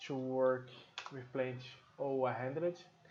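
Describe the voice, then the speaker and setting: With a Brazilian Portuguese accent, a man speaks at a very slow pace. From Brazil, Sao Paulo. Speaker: software trainer. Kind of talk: tutorial. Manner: hesitant, many fillers.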